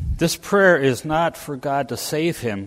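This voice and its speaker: A man talks very slowly with an American accent. His pitch swings very widely. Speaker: lay preacher. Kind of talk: sermon. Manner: halting, with frequent fillers.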